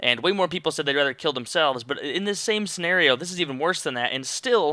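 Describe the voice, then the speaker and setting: A fairly high-pitched man's voice, very fast and animated, with lively intonation and a bright, sharp tone. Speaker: youtuber. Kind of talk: casual commentary vlog. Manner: stuttering.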